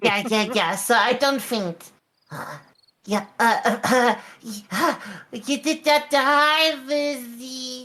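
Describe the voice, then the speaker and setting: A woman puts on a character voice, high-pitched and nervous in tone, speaking at a very slow pace. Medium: actual play. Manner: nervous, stammering.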